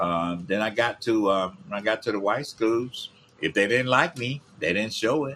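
This man speaks with a Memphis accent at medium pitch. His tone is bright and sharp. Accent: Southern US, Memphis. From Memphis, Tennessee. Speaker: podcast host, grandfather. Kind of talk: casual chat. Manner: soft-spoken.

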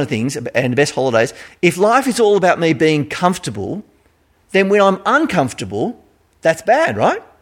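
In a very clean recording with a silent background, a man with an Australian accent speaks at a moderate pace in a high pitch with very wide pitch swings. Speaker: pastor. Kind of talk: sermon. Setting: church.

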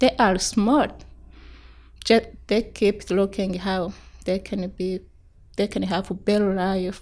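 The speaker, with an East African accent, goes at a very slow pace with long, frequent pauses. Intonation stays fairly even. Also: woman, medium pitch for a woman. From Tanzania. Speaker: refugee. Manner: halting limited English.

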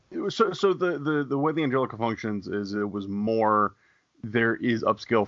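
Lively intonation marks this man's speech. He has an unremarkable speaking voice at a medium pitch. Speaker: podcast co-host. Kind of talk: radio dj patter.

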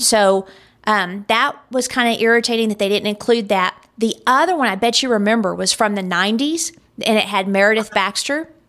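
A woman speaks in a plain, everyday voice. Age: 40s. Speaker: podcast host. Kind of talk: casual chat.

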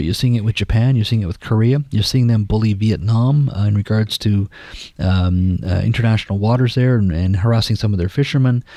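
A man's medium-pitched voice, dark and mellow in tone, at a very fast pace. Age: 50s. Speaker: politician, former journalist. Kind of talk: interview.

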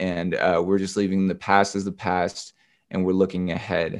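Against a silent background in a very clean recording, a man talks at a moderate pace in a very deep, low pitch with monotone, flat intonation. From US West Coast, southern Oregon. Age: 20s. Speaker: rapper. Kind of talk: testimony.

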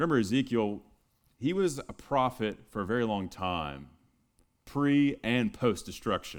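Pitch swings very widely as this man talks. His pace is fairly slow, and the recording is very clean over a silent background. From Texas. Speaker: pastor. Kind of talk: sermon. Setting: church.

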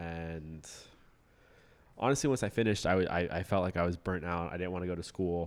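On a very clean recording with a silent background, a man with an American accent speaks at a fairly quick pace in a very deep, low pitch with fairly even intonation. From Florida, West Palm Beach. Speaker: grad student. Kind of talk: casual chat.

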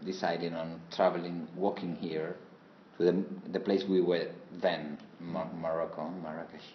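Over audible room echo, someone with a Spanish accent speaks at a moderate pace in monotone, flat intonation. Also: man, very deep, low pitch for a man. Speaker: interpreter. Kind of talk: interpreted interview. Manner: halting.

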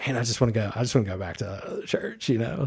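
A plain, everyday voice from a man, medium in pitch with fairly even intonation, on a very clean recording with a silent background. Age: 40s. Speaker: podcast guest. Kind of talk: casual chat.

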